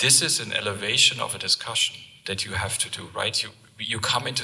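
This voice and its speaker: Through noticeable background noise, a man with a non-native accent speaks at a very fast pace. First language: not English. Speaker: company sales presenter. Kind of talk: conference talk Q&A.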